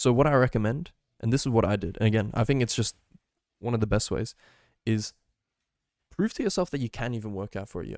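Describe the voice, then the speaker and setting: A man talks at a very fast pace, with long, frequent pauses. The recording is very clean, with a silent background. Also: medium pitch for a man, ordinary pitch variation, dry, close sound with no echo. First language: Hungarian. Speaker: tech and fitness YouTuber. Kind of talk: casual vlog advice. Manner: rambling, filler-heavy.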